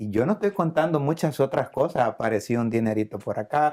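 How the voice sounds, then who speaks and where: The man's voice has a dark, mellow tone. He moves at a fairly quick pace with ordinary pitch variation. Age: 60s. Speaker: church member giving testimony. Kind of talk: testimony.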